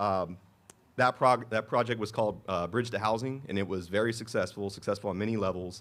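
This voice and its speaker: With an American accent, a man talks fairly quickly at a fairly low pitch, keeping his intonation fairly even. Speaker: city manager. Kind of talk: public speech at dedication event. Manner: fast.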